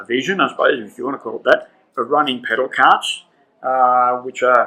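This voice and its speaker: This man talks with an Australian accent at a medium pitch. His pace is fairly quick. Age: 70s. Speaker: railway heritage volunteer. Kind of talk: interview.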